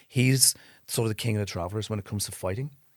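A man's fairly low voice in an Irish accent, on a very clean recording with a silent background. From Ireland. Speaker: film director. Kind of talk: casual chat.

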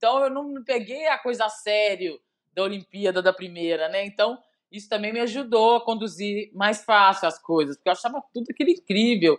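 A woman speaks in a plain, everyday voice at a fairly high pitch. Her intonation is lively and her pace moderate. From Brazil, Belo Horizonte (Minas Gerais). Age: 40s. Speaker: former volleyball player. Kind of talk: casual interview.

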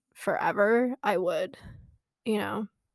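A woman talks at a fairly slow pace. Hers is an unremarkable speaking voice with a fairly high pitch. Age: 20s. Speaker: podcast co-host. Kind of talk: casual chat.

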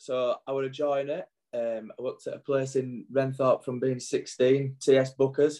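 Speaking with a Yorkshire accent, a man has a dark, mellow tone and monotone, flat intonation. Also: medium pitch for a man, moderate pace. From northern England, Wakefield. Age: 40s. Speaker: former rugby league player. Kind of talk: casual chat.

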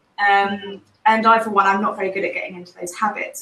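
A woman talks at a very fast pace in an English accent, with music in the background. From England. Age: 30s. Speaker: graphic designer. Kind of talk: casual chat.

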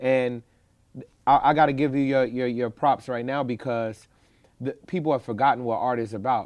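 Against a quiet background, a man with an American accent talks at a moderate pace, his medium-pitched voice keeping a fairly even intonation. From Chicago. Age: 30s. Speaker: activist and community organizer. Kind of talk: casual interview.

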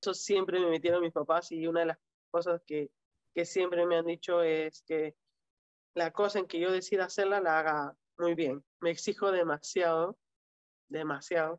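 Her voice sits fairly low, with fairly even intonation at a moderate pace. The woman leaves long, frequent pauses, and the sound is dry and close with no echo. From Peru. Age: 30s. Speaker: para-badminton athlete. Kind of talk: interview. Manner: halting.

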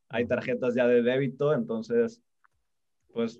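A man with a Mexico City accent speaks at medium pitch and a fairly slow pace, his intonation monotone and flat. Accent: chilango (Mexico City). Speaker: crypto enthusiast. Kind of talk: casual chat. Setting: video call.

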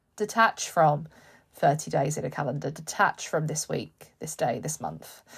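The voice carries noticeable vocal fry. The recording is very clean, with a silent background. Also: woman, very deep, low pitch for a woman, ordinary pitch variation, big swings in loudness. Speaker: business coach and podcast host. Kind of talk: motivational pep talk. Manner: animated, fired-up, emphatic; repetitive, rhythmic, encouraging.

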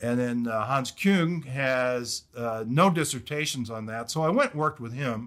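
In a normal speaking voice, a man talks at a moderate pace and medium pitch with ordinary pitch variation and hardly any pauses, on a very clean recording with a silent background. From US Midwest, Detroit area, Michigan. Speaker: theology professor and former pastor. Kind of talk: casual interview.

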